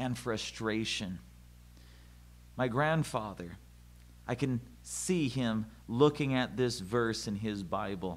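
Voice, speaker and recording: Speech moves at a fairly slow pace with long, frequent pauses and ordinary pitch variation. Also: man. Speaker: pastor. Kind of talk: sermon.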